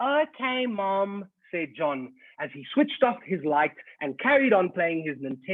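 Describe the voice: The passage is read out loud. The reading is plain.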